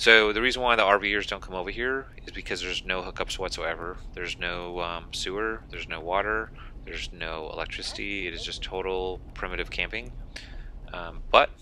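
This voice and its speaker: An unremarkable speaking voice, a man at a fairly low pitch and moderate pace with fairly even intonation, dry with no echo and light background noise. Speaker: campground reviewer. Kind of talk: casual vlog commentary. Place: car.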